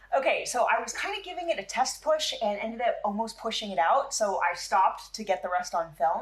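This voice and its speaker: Over noticeable background noise, a woman with a fairly high pitch talks at a fairly quick pace with hardly any pauses, an animated tone and very wide pitch swings. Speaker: car repair video host. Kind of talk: tutorial. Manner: fast.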